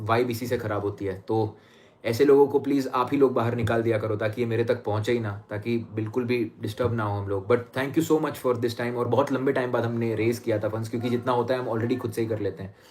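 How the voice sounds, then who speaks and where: The voice is somewhat breathy, with monotone, flat intonation. Hardly any pauses break it up. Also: man. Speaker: astrologer. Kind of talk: live stream chat. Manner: fast.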